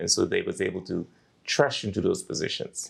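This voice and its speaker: A man with a Turks and Caicos accent, at a very fast pace. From Turks and Caicos (South Caicos). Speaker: talk show host. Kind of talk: interview.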